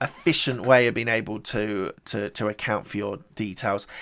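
An unremarkable speaking voice from a man at a moderate pace, fairly even intonation, very clean recording with a silent background. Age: 40s. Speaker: podcast host and entrepreneur. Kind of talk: solo recap monologue.

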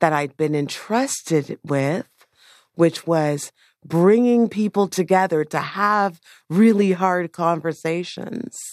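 In a dry, close recording with a quiet background and no echo, a woman with a fairly low pitch talks with ordinary pitch variation. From Toronto (Scarborough). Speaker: urban placemaker. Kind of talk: public talk. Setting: stage with audience.

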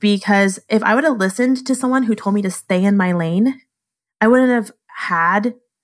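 A woman with an American accent speaks at a moderate pace in a normal speaking voice, medium in pitch with ordinary variation. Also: very even loudness. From Southern California, then Naples, Florida from mid high school. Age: 30s. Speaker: photographer. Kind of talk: casual chat.

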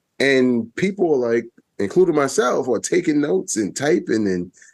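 This voice carries a New York accent at a moderate pace. Its pitch swings very widely. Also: man. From Brooklyn, New York. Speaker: public radio executive. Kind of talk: casual chat.

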